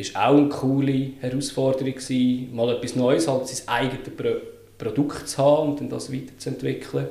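With audible room echo and noticeable background noise, a man talks at a medium pitch and a moderate pace. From Switzerland, Lucerne. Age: 30s. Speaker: UX design consultant. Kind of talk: casual interview.

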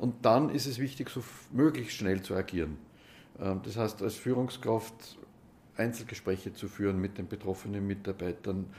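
A man with an Austrian accent, fairly low in pitch, at a moderate pace with ordinary pitch variation. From Upper Austria, Gmunden. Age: 60s. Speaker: mediator and trainer. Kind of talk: interview.

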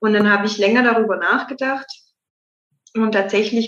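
A woman with a normal speaking voice, a fairly high pitch and fairly even intonation. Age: 20s. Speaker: mayor. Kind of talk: interview.

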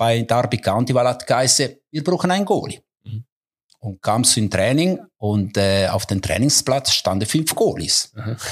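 With an Italian Swiss accent, a man speaks at a moderate pace with a medium pitch and lively intonation. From Ticino, Switzerland. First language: Italian (speaking German). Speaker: football goalkeeper coach. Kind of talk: interview.

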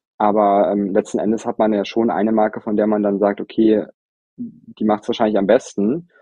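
A man talks at a fairly quick pace in a fairly low pitch. It is a normal speaking voice. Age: 30s. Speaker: cosmetics brand founder. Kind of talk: interview.

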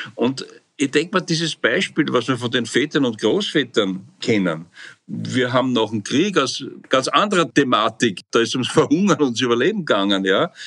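Very wide pitch swings run through a man's speech at a moderate pace. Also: medium pitch for a man. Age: 70s. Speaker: psychotherapist, association president. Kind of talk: interview.

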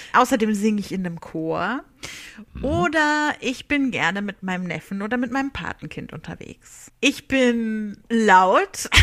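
Speaking fairly slowly, a woman uses a fairly high pitch and lively intonation, with big swings in loudness. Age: 30s. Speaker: social media and PR worker. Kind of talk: recorded self-introduction. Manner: talkative.

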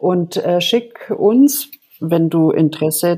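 Her voice is fairly low in pitch for a woman, with ordinary pitch variation. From Germany. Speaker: podcast co-host, psychological counsellor. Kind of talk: casual podcast introduction.

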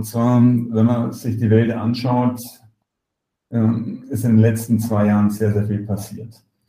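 Very slowly and in a monotone, flat delivery, a man speaks at medium pitch with a dark, mellow tone and a somewhat breathy quality. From Germany. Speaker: software company executive. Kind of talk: interview. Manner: halting, many fillers and repetitions.

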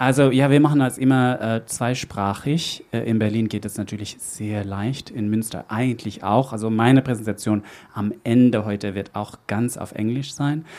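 A man talks at a moderate pace with hardly any pauses. His pitch is medium and his intonation fairly even. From Netherlands. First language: Dutch (speaking German). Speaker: event host. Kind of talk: live event hosting. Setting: stage with audience. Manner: halting, with fillers.

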